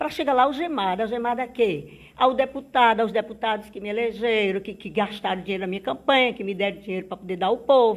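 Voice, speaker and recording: Here a woman's voice is fairly high in pitch. She talks at a fairly quick pace. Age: 60s. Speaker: politician. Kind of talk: interview.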